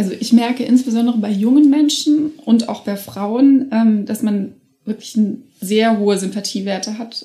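This woman's voice is somewhat breathy. Its pitch sits fairly high. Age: 30s. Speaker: politician. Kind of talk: interview. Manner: frequent filler sounds.

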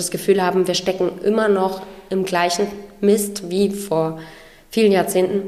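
A woman's very slow, monotone, flat delivery at a medium pitch, with noticeable background noise and audible room echo. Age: 30s. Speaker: singer-songwriter. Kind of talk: interview. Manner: hesitant with many fillers.

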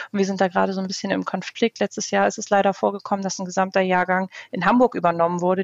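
Very fast and monotone, with flat intonation, a woman talks at a medium pitch. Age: 20s. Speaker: youth works council candidate. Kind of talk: interview.

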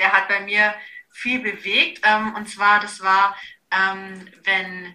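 A woman speaks in a bright, sharp tone, with audible room echo around her. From Bavaria, Augsburg. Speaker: nutrition and fitness coach. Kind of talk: casual interview.

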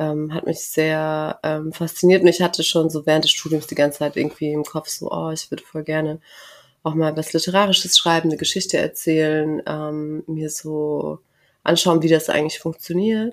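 At a moderate pace, a woman talks at a very deep, low pitch in a monotone, flat intonation. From southern Germany, near Karlsruhe. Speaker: author and journalist. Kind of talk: interview. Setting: office room, in person.

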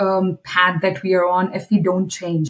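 A woman talks at a fairly slow pace in a somewhat breathy voice. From India. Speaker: corporate sustainability executive. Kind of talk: interview.

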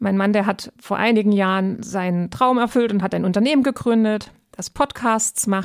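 A woman with a plain, everyday voice speaks at a fairly high pitch and a moderate pace with fairly even intonation, in a very clean recording with a silent background and a dry, close sound with no echo. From eastern Germany. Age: 30s. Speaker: podcast host. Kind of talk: casual chat.

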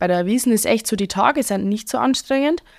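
A woman with a strong Bavarian accent, fairly high in pitch, at a fairly quick pace, in a very clean recording with a silent background. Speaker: Oktoberfest waitress and bar owner. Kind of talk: casual chat.

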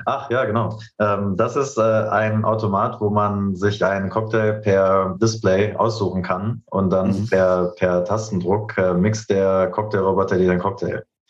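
A man's fairly low voice at a fairly slow pace, monotone and flat in intonation, with very even loudness. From Berlin, Germany. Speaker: startup founder. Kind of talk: interview. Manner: many filler sounds (ähm, äh).

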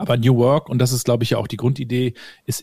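A man speaks in a dark, mellow tone, and the sound is dry and close with no echo. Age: 40s. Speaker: organisational developer and podcaster. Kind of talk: casual interview chat.

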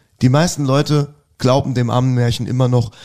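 A man's dark, mellow voice at medium pitch with fairly even intonation. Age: 40s. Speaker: rock singer. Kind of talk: casual interview chat.

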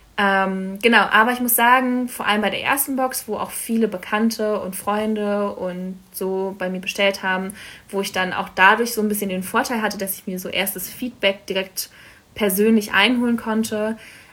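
A woman's bright, sharp voice at medium pitch, with fairly even intonation and a moderate pace. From Berlin, Germany. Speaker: coffee business founder. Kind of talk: casual interview.

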